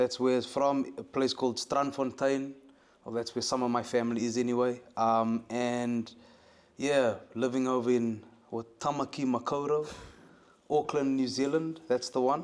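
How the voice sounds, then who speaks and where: In a very clean recording with a silent background, a man with a South African accent talks at a moderate pace in a medium pitch with monotone, flat intonation. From South Africa, Cape Town. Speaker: musician and producer. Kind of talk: interview. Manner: halting, many fillers.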